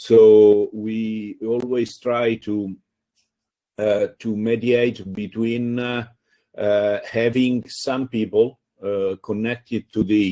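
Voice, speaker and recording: Flat, monotone speech from a man, very slow, with a dark, mellow tone. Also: medium pitch for a man. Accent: Italian. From Italy. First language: Italian. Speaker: free software community organizer. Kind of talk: panel discussion. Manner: halting.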